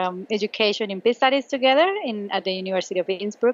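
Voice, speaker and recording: With a Spanish accent, a woman speaks at a medium pitch. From Colombia. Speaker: law professor. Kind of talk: casual interview. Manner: hesitant, many fillers.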